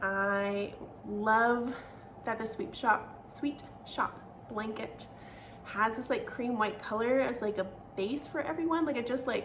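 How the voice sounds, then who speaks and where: Ordinary pitch variation at a fairly slow pace, with audible room echo. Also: woman. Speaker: knitting podcaster. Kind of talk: casual chat.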